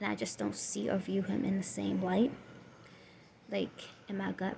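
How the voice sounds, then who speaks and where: Speaking with a Southern US accent, a woman keeps to a fairly slow pace. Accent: Southern US country. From Southern US (Florida). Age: 20s. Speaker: single mother vlogger. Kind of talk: casual talk to camera.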